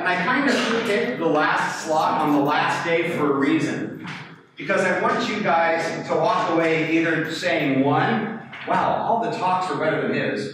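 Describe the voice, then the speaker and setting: A man's high-pitched voice amid noticeable background noise and strong room echo. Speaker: conference presenter, professor. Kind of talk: conference talk. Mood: joking, relaxed. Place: classroom.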